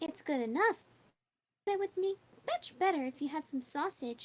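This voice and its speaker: Putting on a squeaky character voice, a woman speaks at a moderate pace in an extremely high pitch with lively intonation. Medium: actual play.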